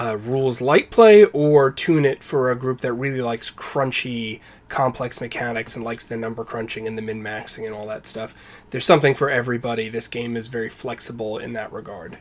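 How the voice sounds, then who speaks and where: In an ordinary speaking voice, a man of medium pitch talks at a fairly quick pace with fairly even intonation and big swings in loudness. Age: 30s. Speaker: game designer. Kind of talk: casual chat.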